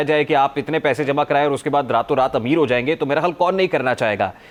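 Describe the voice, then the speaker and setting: With ordinary pitch variation, a man talks in a normal speaking voice. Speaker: TV news anchor. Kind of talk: TV talk show interview.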